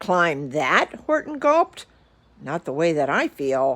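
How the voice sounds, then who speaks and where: Putting on a character voice, a woman speaks at a fairly slow pace. Her pitch is very deep and low. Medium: read story.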